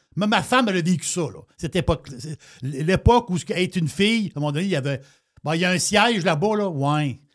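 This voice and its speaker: A man with a Quebec accent talks at a very fast pace in a high pitch. His tone is animated and his intonation lively. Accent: Québécois French. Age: 60s. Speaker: radio talk show host. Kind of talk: political talk show discussion.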